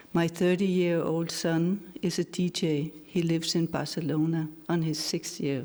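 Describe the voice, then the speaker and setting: Fairly low in pitch, a woman speaks at a fairly slow pace with a Danish accent and monotone, flat intonation. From Denmark, Aarhus. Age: 60s. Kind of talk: personal testimony speech.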